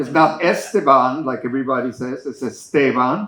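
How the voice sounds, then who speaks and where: A man at a moderate pace, fairly high in pitch, with a slight Mexican accent. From Mexico. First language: Spanish. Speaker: cancer survivor support group member. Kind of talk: memorial eulogy. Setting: memorial service with audience.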